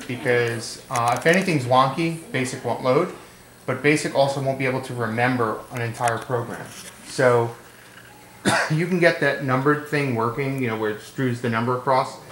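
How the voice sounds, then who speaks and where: Amid audible room echo and light background noise, a man speaks at a moderate pace with fairly even intonation. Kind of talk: demonstration explanation. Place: home room. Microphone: camera far.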